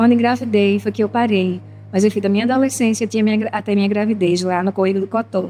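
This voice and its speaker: A woman speaks very fast in a dark, mellow tone with fairly even intonation. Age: 60s. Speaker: church children's evangelist. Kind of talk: testimony. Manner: halting.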